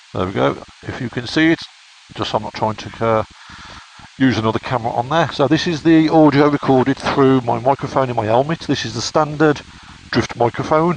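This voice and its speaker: There is noticeable background noise as a man speaks at a fairly quick pace. His pitch is medium, with ordinary variation. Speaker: motorcycle vlogger. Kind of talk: product review vlog.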